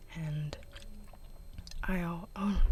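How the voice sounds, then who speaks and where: The speaker is soft-spoken. Background noise is noticeable. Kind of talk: ASMR chit chat.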